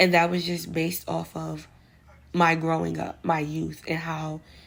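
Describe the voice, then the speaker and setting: A woman with a New York accent speaks at a very slow pace. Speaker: vlogger giving advice. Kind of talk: casual monologue vlog. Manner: casual, slangy.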